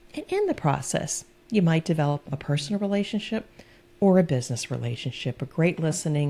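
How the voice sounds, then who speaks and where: At a fairly quick pace, a woman speaks in a calm, dark, mellow tone that is somewhat breathy. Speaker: business consultant and coach. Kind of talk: interview.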